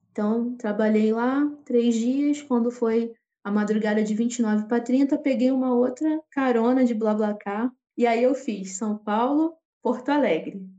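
Speaking at a fairly slow pace, a woman with a high pitch and a dark, mellow tone keeps her intonation fairly even and her loudness very even. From Rio de Janeiro, Brazil. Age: 30s. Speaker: street musician. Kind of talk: casual interview.

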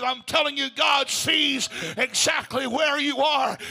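Noticeable background noise behind a man's raised, projected voice. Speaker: preacher. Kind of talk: sermon. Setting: church. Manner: urgent, fervent, exhorting.

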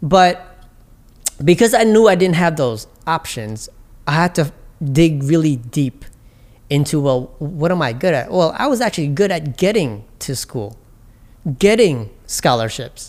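A man with a New York accent speaks at a fairly high pitch, swinging very widely up and down. His pace is fairly slow, with long, frequent pauses. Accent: New York City English. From Jamaica, Queens, New York City. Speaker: entrepreneur and immigrant rights advocate. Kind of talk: casual interview. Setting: on location in Chinatown.

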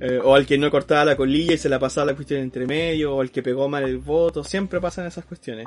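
Very fast and with hardly any pauses, a man with a Chilean accent speaks at a fairly high pitch with fairly even intonation. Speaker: podcast co-host. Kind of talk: casual chat.

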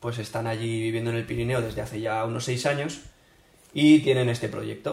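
Somewhat breathy and medium in pitch, a man speaks with fairly even intonation at a moderate pace amid audible room echo. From northern Spain. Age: 20s. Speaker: biologist and livestock farming enthusiast. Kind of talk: casual chat.

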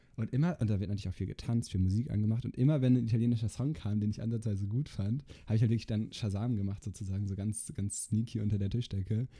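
Barely pausing, a man races along at a very fast pace in a somewhat breathy, dark, mellow voice with a fairly low pitch and ordinary pitch variation. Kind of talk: casual chat.

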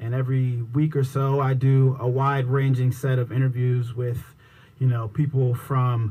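With an American accent, a man speaks in a dark, mellow tone that is somewhat breathy. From Washington, D.C. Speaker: TV news producer and podcaster. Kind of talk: radio interview.

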